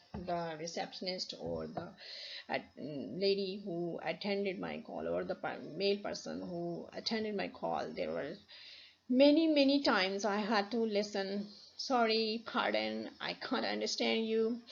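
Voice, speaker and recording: A woman talks at a fairly slow pace with a Pakistani accent. Room echo can be heard. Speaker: university lecturer. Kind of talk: lecture. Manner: halting, many restarts.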